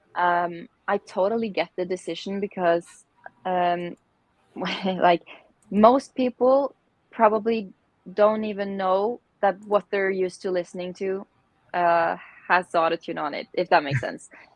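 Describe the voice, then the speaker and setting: A woman talks at a fairly slow pace with long, frequent pauses and ordinary pitch variation. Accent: Norwegian. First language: Norwegian. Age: 20s. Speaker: singer and songwriter. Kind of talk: interview answer.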